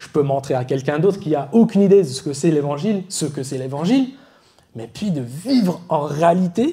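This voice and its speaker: With an English accent, a man talks at a moderate pace in a fairly high pitch. His tone is dark and mellow, and his intonation is lively. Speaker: preacher. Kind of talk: sermon. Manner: halting, self-correcting.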